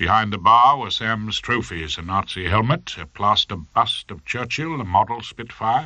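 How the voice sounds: Lively intonation in a natural reading voice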